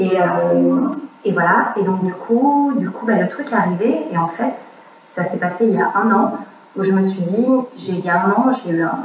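In audible room echo and noticeable background noise, a woman speaks at a medium pitch with ordinary pitch variation. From Quebec. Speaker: fitness coach. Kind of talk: casual chat. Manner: animated; fast. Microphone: poor recording sound.

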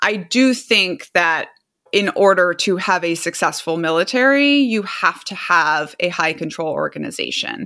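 A woman's fairly low, bright, sharp voice with an American accent and lively intonation, in a very clean recording with a silent background. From Brazil, raised by American parents. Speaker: author and army veteran. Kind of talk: interview.

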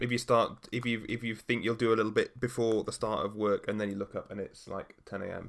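A man speaks at a medium pitch in a monotone, flat delivery. His pace is fairly quick, with hardly any pauses. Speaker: podcast host. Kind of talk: casual chat.

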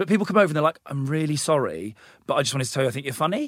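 A man with an English accent speaks at a fairly high pitch with lively intonation. The sound is dry and close with no echo, in a very clean recording with a silent background. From England, small town. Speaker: comedian and TV presenter. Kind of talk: casual interview chat. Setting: podcast studio.

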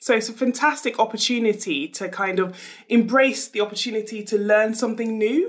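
A woman with a plain, everyday voice talks at a moderate pace and a fairly high pitch. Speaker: entrepreneur and business mentor.

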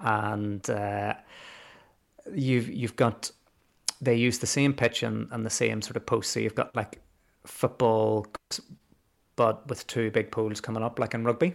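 Using a Belfast accent, a man with a medium pitch and fairly even intonation speaks at a fairly slow pace with long, frequent pauses. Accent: Belfast Northern Irish. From Northern Ireland, Belfast. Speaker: teacher. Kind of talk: casual history interview.

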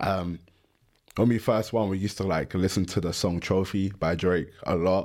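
Very deep and low in pitch, a man with a London accent talks at a moderate pace with fairly even intonation. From London (Stratford, east London). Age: 20s. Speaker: American football player. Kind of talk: casual interview chat.

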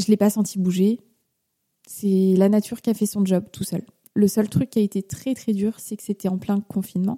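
A woman speaks in a dark, mellow tone that is somewhat breathy, with monotone, flat intonation and long, frequent pauses. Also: medium pitch for a woman, moderate pace. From Paris region, France. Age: 30s. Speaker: mother sharing her pregnancy story. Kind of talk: interview testimony.

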